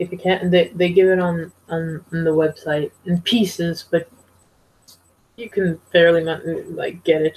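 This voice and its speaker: With monotone, flat intonation, a woman speaks fairly slowly in a fairly low pitch, somewhat breathy. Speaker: TV show reviewer. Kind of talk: casual vlog review. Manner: halting.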